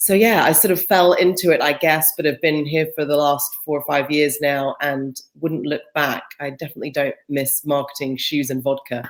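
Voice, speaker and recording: A woman with a British accent speaks at a moderate pace. Her voice is very deep and low, with fairly even intonation. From Britain. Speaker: employer branding specialist. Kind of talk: interview.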